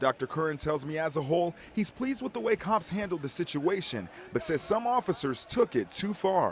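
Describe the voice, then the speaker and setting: A man's high pitch with very wide swings, fairly quick pace, and noticeable background noise. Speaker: TV news reporter. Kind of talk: television news report, live stand-up and package narration.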